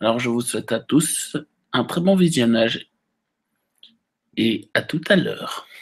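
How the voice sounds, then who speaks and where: Speaking very slowly with long, frequent pauses, a man with a medium pitch uses lively intonation. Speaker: gaming youtuber. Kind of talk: gameplay commentary. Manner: hesitant; soft-spoken.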